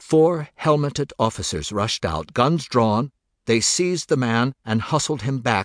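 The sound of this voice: The background stays quiet beneath an unforced reading voice.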